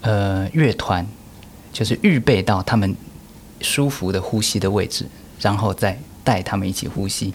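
This man's pitch sits fairly low. He talks at a fairly slow pace. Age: 30s. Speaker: orchestra conductor. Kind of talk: interview.

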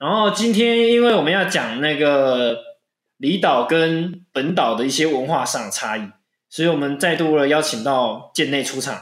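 A man with a fairly high pitch speaks at a moderate pace, his voice moving in very wide pitch swings. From Penghu, Taiwan. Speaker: podcast host. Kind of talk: casual chat.

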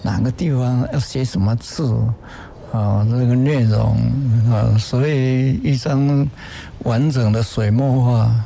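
Over noticeable background noise, the speaker talks at a very slow pace in a calm tone. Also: man. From Taiwan, rural Nantou. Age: 80s+. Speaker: painter. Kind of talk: interview. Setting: on site at an art exhibition. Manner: calm, mild-mannered.

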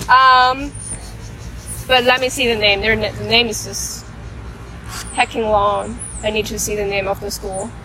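A woman speaks at a fairly slow pace with long, frequent pauses. Noticeable background noise is present. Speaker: student podcast co-host. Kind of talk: casual chat. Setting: outdoors on campus.

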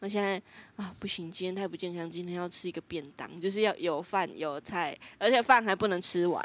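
On a very clean recording with a silent background, a woman talks at a fairly quick pace with an ordinary speaking voice. Her pitch is medium and her intonation fairly even. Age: 20s. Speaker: podcast co-host. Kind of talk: casual chat.

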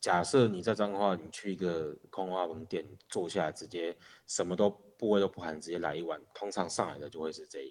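With a very deep, low voice, a man talks at a fairly quick pace, keeping his intonation fairly even while his loudness swings widely. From Taiwan, Changhua. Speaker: local food enthusiast. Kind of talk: casual chat. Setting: remote LINE call recording.

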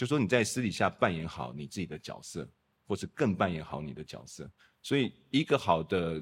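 Vocal fry, a dry, close sound with no echo, big swings in loudness, very wide pitch swings and a moderate pace. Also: man, very deep, low pitch for a man. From Taiwan (Kaohsiung). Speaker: lighting designer. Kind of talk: casual chat.

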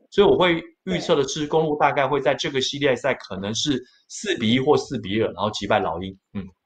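Somewhat breathy speech from a man, delivered at a fairly quick pace. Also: fairly high pitch for a man, lively intonation. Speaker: sports news anchor. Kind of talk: casual chat. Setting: live stream.

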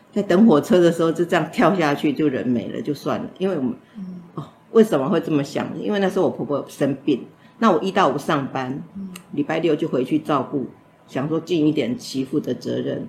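Her very deep, low voice carries lively intonation as this woman speaks at a fairly quick pace. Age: 60s. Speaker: domestic violence survivor. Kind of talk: testimony.

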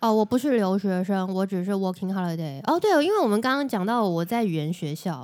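A plain, everyday voice talks at a fairly quick pace with lively intonation and hardly any pauses, on a very clean recording with a silent background. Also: woman, medium pitch for a woman. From Taiwan. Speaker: podcast host and Japanese-language tour guide. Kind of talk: casual chat.

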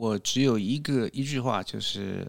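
A very slow pace with ordinary pitch variation, on a very clean recording with a silent background. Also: man. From Taiwan, moved to US at 12 (Orange County, California). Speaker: public speaking club member. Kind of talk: casual interview.

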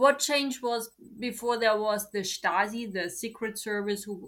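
A woman with a German accent speaks at a fairly slow pace and medium pitch, with ordinary pitch variation, on a very clean recording with a silent background. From East Germany (Leipzig). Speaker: German teacher. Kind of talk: interview.

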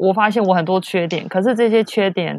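A woman's fairly low-pitched voice at a moderate pace, with fairly even intonation and a normal speaking voice. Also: dry, close sound with no echo, quiet background. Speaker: traveler. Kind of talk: casual chat.

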